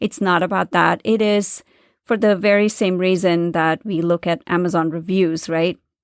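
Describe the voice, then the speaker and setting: A woman speaks at very even loudness in a dry, close sound with no echo, on a very clean recording with a silent background. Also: fairly even intonation, moderate pace. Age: 40s. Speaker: spiritual business coach and podcast host. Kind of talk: solo podcast monologue. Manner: halting, with stumbles.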